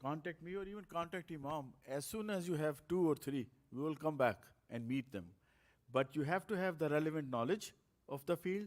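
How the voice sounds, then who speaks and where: This is an ordinary speaking voice, delivered at a fairly quick pace. Its pitch varies in an ordinary way. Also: man. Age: 60s. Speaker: speaker on politics and media activism. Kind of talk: talk and Q&A.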